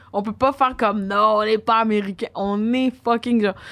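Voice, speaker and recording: On a very clean recording with a silent background, a woman speaks in a monotone, flat intonation. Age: 30s. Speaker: DJ and music producer. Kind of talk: casual chat.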